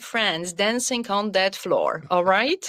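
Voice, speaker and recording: In a Polish accent, a woman talks at a very slow pace. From Poland. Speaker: wellness coach. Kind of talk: podcast interview. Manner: animated.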